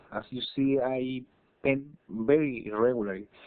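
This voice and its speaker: Someone with a Spanish accent speaks at a fairly slow pace. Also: man. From Chile. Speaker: digital artist. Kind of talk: tutorial. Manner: halting, many fillers and repetitions.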